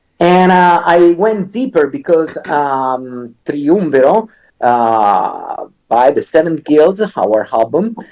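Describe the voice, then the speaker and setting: A man with an Italian accent, fairly high-pitched, at a very slow pace, his pitch swinging very widely while his loudness stays very even. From Italy. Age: 40s. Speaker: metal singer and songwriter. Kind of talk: interview. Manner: hesitant, many fillers.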